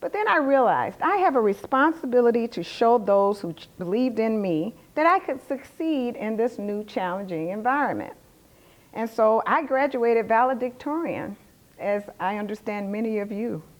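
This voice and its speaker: The loudness swings widely from moment to moment. The speaker has a Southern US accent. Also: woman, fairly high pitch for a woman, lively intonation, moderate pace. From US South. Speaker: finance executive. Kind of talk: lecture.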